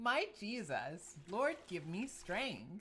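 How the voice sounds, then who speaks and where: A man's high-pitched put-on character voice. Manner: flat, robotic.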